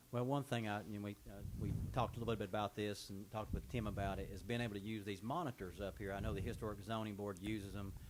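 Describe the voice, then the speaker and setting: With hardly any pauses, a man talks at a very fast pace in a fairly low pitch and fairly even intonation, with audible room echo. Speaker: mayor chairing town board meeting. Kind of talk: public meeting. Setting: town hall boardroom. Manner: loud.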